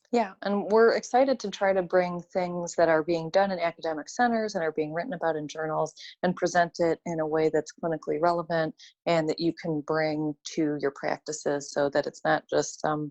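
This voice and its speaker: The speaker has a Chicago accent and a fairly quick pace. The sound is dry and close with no echo, and the background is quiet. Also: woman, fairly low pitch for a woman, ordinary pitch variation. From Chicago, US Midwest. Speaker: orthodontist, podcast co-host. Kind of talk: podcast chat.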